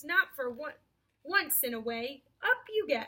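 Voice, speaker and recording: A woman puts on a character voice with a high pitch and very wide pitch swings. She speaks at a moderate pace. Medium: read story. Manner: slow, thoughtful.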